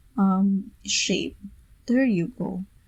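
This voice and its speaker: Some breathiness runs through the voice. Pitch rises and falls in an ordinary way. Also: woman. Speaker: PowerPoint tutorial creator. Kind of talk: software tutorial narration. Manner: casual, step-by-step.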